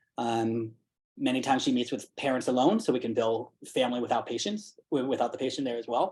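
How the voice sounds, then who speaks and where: A man's medium-pitched voice carries ordinary pitch variation. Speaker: pediatric primary care provider. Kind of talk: committee meeting presentation. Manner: fast.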